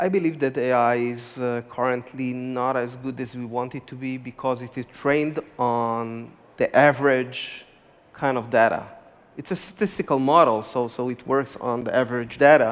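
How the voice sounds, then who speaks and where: A man's medium-pitched voice with a slight non-native accent, fairly even intonation and a moderate pace. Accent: slight foreign. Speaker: startup CEO. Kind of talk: panel discussion. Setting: stage with audience.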